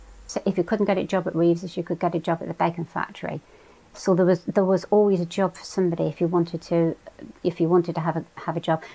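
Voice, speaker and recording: Speaking very fast, a woman has a dark, mellow tone in a West Country accent. Her intonation is monotone and flat. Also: fairly low pitch for a woman. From England, Devon (Totnes). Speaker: oral history interviewee. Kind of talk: interview, reminiscence.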